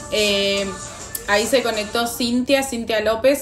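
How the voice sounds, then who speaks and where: A woman with an Argentine accent speaks at a fairly slow pace. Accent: Argentine Spanish (voseo). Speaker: life coach, live-stream host. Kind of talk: live stream talk to viewers.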